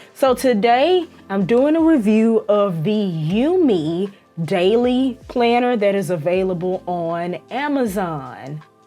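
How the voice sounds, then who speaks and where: Music plays in the background as the speaker talks with a Southern US accent. The pace is very slow, and the pitch swings very widely. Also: woman, medium pitch for a woman. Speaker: planner youtuber. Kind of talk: product review voiceover. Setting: voiceover recording. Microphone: original audio was bad, redone as voiceover.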